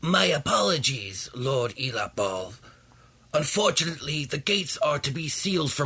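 A man puts on a squeaky character voice with a fairly high pitch. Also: moderate pace.

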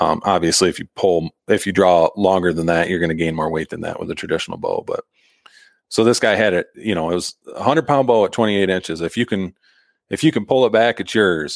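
A man with an American accent and a normal speaking voice, fairly low in pitch with ordinary pitch variation, at a fairly quick pace, in a very clean, dry, close recording with no echo and a silent background. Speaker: bowhunter and llama packer. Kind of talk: casual interview chat.

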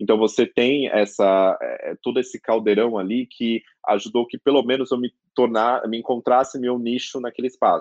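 His voice is a plain, everyday voice, pitched in the medium range. This man talks at a moderate pace. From Greater São Paulo, Brazil (Carapicuíba). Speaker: lawyer and law professor. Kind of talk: interview. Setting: remote recording.

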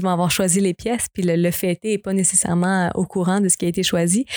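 The speaker delivers the words in a monotone, flat intonation at a moderate pace. The sound is dry and close with no echo, on a very clean recording with a silent background. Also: woman. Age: 20s. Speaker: singer. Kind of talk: casual chat.

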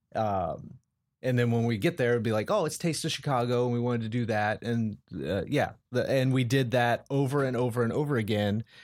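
At a moderate pace and medium pitch, a man with an American accent has a normal speaking voice and ordinary pitch variation, in a very clean recording with a silent background. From Colorado. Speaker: sales executive. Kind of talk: casual interview.

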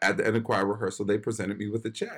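A man with an ordinary speaking voice, fairly low in pitch, with fairly even intonation, on a very clean recording against a silent background. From Philadelphia, US. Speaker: actor and writer. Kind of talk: interview.

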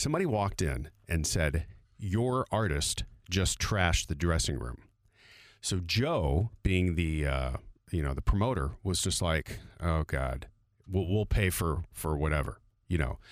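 Over a very clean recording with a silent background, a man with vocal fry and a very deep, low pitch speaks at a fairly slow pace with lively intonation. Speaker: radio host. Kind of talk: casual chat.

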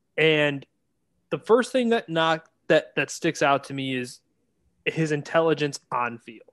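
A man's fairly high voice, animated and lively in intonation, with big swings in loudness, a fairly slow pace and a dry, close sound with no echo. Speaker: podcast host and draft analyst. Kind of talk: casual banter, sports analysis. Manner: joking, animated.

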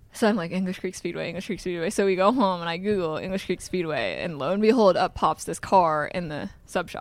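In a normal speaking voice with an American accent, the speaker moves at a fairly quick pace with hardly any pauses and ordinary pitch variation. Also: woman, medium pitch for a woman. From Iowa. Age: 20s. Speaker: sprint car driver. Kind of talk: interview. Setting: museum.

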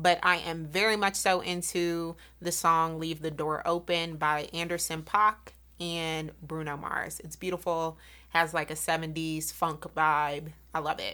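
A woman in an American accent, fairly low-pitched with a bright, sharp tone, monotone and flat, at a fairly slow pace, on a very clean recording with a silent background. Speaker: podcast co-host. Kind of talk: casual chat. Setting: studio.

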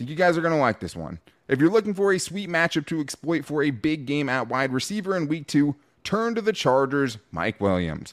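A man with a fairly high pitch speaks in a normal speaking voice at a fairly quick pace. The recording is very clean, with a silent background. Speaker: sports podcast host. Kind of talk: casual sports talk.

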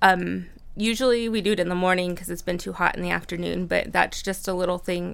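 Delivered at a moderate pace, the speech sits in a very clean recording with a silent background. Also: woman. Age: 30s. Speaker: mom and lactation consultant student. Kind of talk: casual chat. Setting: studio.

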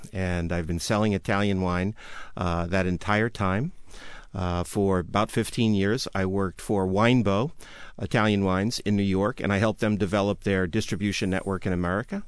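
Against a quiet background, a man speaks in an ordinary speaking voice, fairly low in pitch, with fairly even intonation and very even loudness. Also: moderate pace. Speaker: wine expert. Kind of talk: casual chat. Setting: studio.

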